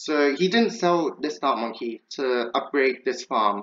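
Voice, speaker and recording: In a normal speaking voice, a man talks at a fairly slow pace with a fairly high pitch and lively intonation against a quiet background. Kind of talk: gameplay commentary.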